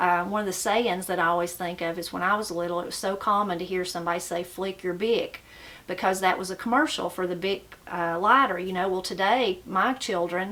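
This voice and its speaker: A woman with a strong Appalachian accent speaks fairly quickly at a medium pitch. Her intonation is fairly even, and there is noticeable background noise. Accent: strong Appalachian mountain. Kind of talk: casual talk to camera.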